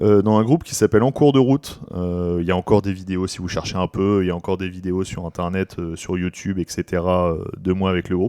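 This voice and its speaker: A man with a very deep, low pitch and a dark, mellow tone talks with hardly any pauses and ordinary pitch variation. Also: fairly quick pace. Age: 30s. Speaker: podcast co-host, youth activity leader and musician. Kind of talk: casual chat. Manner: hesitant, many fillers.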